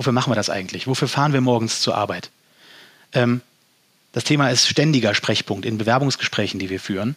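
A man talks at a very fast pace with ordinary pitch variation. Long pauses come often. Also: medium pitch for a man. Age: 30s. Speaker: company environmental officer. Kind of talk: podcast interview.

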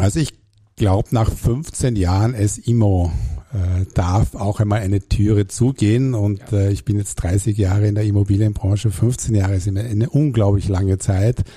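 A man speaks at a moderate pace and a fairly low pitch, with fairly even intonation and very even loudness. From Germany, Hamburg. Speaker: real estate executive. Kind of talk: interview. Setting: studio.

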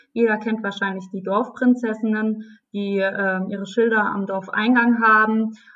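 Against a quiet background, a woman talks at a fairly slow pace. Her fairly high pitch comes with monotone, flat intonation. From Palatinate, Germany (Neustadt). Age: 20s. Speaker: wine queen, winemaker's daughter. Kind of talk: interview. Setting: video call.

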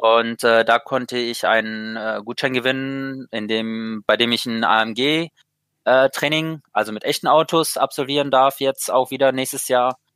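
The speech moves at a fairly slow pace with hardly any pauses. Its intonation stays fairly even. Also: man, medium pitch for a man. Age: 20s. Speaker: sim racing driver. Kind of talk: interview. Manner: halting, many fillers.

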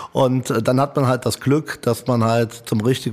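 A man speaks at a moderate pace in an unremarkable speaking voice. His intonation is fairly even. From Italian heritage. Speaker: hotelier and restaurateur. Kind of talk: casual interview.

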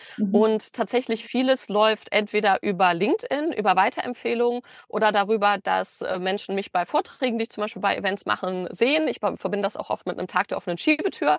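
In a normal speaking voice with a fairly high pitch, a woman talks at a fairly quick pace, with ordinary pitch variation and hardly any pauses. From Germany, Bielefeld. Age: 30s. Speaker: business consultant. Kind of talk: podcast interview. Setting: video call from a van.

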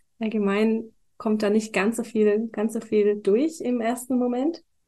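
A woman with a dark, mellow tone and a fairly high pitch speaks somewhat breathily at a moderate pace with ordinary pitch variation. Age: 20s. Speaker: wine queen and trained winemaker. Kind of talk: casual chat during a wine tasting. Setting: studio, seated next to the host.

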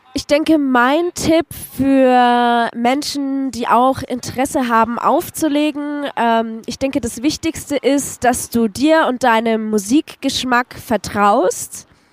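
A high-pitched woman at a very slow pace, hardly any pauses, ordinary pitch variation, dry and close with no echo. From Franconia, Nuremberg. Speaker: DJ. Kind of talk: interview.

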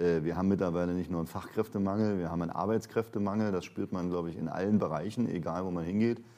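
A man with a very deep, low voice and a dark, mellow tone speaks at a very fast pace with fairly even intonation and hardly any pauses. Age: 50s. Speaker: pension and insurance consultant. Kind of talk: interview.

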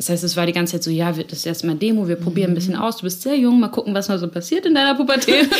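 Very fast, lively speech with hardly any pauses, over noticeable background noise. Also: woman, medium pitch for a woman. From Hamburg area, northern Germany (Elmshorn). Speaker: singer-songwriter. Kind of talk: interview. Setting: studio.

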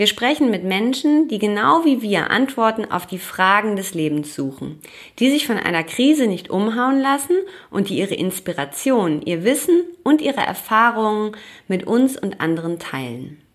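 The recording is very clean, with a silent background. The pitch swings very widely. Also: woman, fairly high pitch for a woman, moderate pace. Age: 30s. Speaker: podcast host, yoga and meditation teacher. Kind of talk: scripted narration.

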